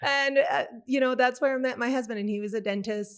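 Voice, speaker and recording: A woman with a French Canadian accent and ordinary pitch variation, on a very clean recording with a silent background. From Quebec City, Canada. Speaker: podcast guest, grief speaker. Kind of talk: casual interview, personal testimony.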